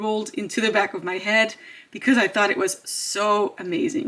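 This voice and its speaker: A woman with a non-native accent speaks at a fairly high pitch with lively intonation. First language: not English. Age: 30s. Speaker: beauty YouTuber. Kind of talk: product review vlog. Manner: hesitant, with fillers.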